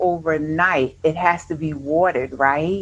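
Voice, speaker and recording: At a fairly slow pace, a woman talks in a New York accent. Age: 50s. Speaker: retired army nurse turned entrepreneur. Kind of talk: interview.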